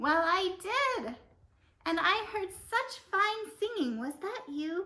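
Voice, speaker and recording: Using a put-on character voice, a woman squeaks along at an extremely high pitch and a very slow pace. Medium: puppet show.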